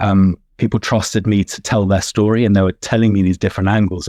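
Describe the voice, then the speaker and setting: Against a quiet background, a man with a British accent speaks in a fairly low pitch with fairly even intonation. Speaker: gin judge and consultant. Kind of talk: podcast interview. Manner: halting, many fillers and repetitions.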